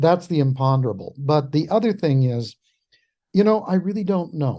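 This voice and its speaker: The voice has a dark, mellow tone. It comes with an American accent. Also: man. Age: 70s. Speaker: historian. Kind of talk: interview.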